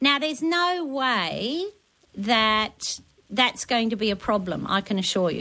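With an Australian accent, a woman speaks in a fairly high pitch and a bright, sharp tone, her voice swinging very widely in pitch over a quiet background. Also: fairly slow pace. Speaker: gardening expert. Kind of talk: talkback radio advice.

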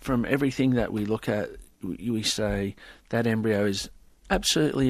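With an Australian accent, a man speaks at a moderate pace and with fairly even intonation. The background is quiet. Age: 50s. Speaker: IVF scientist. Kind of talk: interview.

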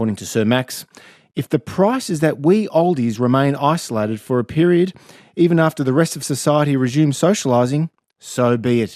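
Talking at a fairly quick pace with an Australian accent, a man uses lively intonation at a fairly high pitch. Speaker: radio host. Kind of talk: radio interview. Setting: studio.

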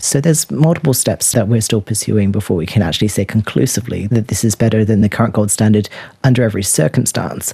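Speaking very fast, a man with a fairly low, dark and mellow voice sounds somewhat breathy, with ordinary pitch variation and very even loudness. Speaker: postdoctoral research scientist. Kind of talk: scientific explanation.

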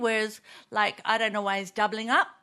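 Her tone is bright and sharp. The woman speaks in an Australian accent. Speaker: comedian panelist.

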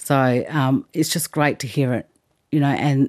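A woman speaks at a moderate pace in a very clean recording with a silent background and a dry, close sound free of echo. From South Australia, south of Adelaide. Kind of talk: interview testimony. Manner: hesitant, many ums.

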